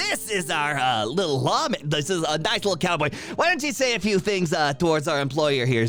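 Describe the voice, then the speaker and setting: A man puts on a character voice at a fairly high pitch. He talks at a fairly quick pace. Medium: actual play. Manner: hurried, salesy.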